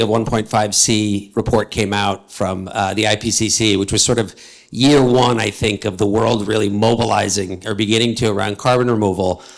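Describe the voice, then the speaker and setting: A man with an American accent, medium pitch, and a moderate pace. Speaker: panel moderator. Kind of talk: panel discussion. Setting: stage with audience.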